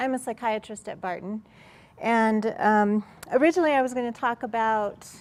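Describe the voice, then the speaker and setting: A woman's normal speaking voice, fairly high in pitch with ordinary variation, at a moderate pace on a very clean recording with a silent background. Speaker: psychiatrist. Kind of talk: workshop presentation. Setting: room with live audience.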